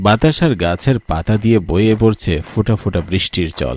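The text is read aloud in a natural voice.

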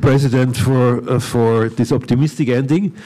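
A man's dark, mellow tone carries ordinary pitch variation. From Austria. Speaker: academy director and moderator; moderator. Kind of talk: moderating a panel. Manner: halting. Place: hall. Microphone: handheld.

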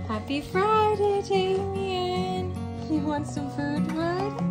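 Loud music plays behind a woman who speaks at a very slow pace. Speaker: parent vlogger. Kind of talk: casual vlog chat. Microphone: phone near.

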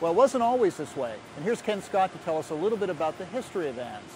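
A man talks at a very fast pace, his voice dry with no echo over light background noise. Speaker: magazine editor on a factory tour. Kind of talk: on-site report commentary. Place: factory. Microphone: lapel.

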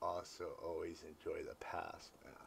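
Light background noise accompanies a man's voice. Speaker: music reaction video host. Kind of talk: casual reaction commentary. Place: home room. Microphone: phone near.

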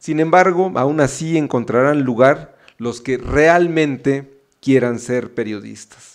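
At a very slow pace and with hardly any pauses, a man speaks in a fairly high pitch against a quiet background. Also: ordinary pitch variation. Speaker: book editor. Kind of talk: ceremonial speech. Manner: halting.

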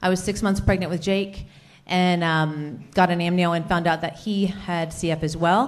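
Using an ordinary speaking voice, a woman talks at a fairly low pitch and moderate pace with fairly even intonation. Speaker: presenter. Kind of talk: conference presentation. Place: hall. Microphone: handheld.

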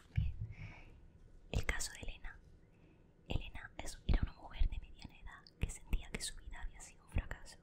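A woman whispers at a fairly quick pace. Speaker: ASMR creator playing a best friend. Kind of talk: whispered reading aloud from a self-help book. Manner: whispered, soft. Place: home room. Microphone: studio mic.

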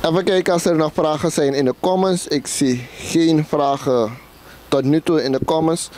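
A man with a normal speaking voice talks at a moderate pace and fairly high pitch, with ordinary pitch variation, very even loudness and a dry sound with no echo. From Suriname. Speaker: interviewer. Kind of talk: interview. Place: home room.

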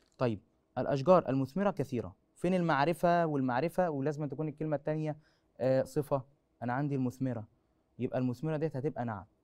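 With a Cairo accent, a man talks at a fairly quick pace, his pitch fairly high and his pitch variation ordinary, against a quiet background. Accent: Egyptian Arabic (Cairene). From Egypt. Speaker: school teacher. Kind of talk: lecture. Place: studio. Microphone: lapel.

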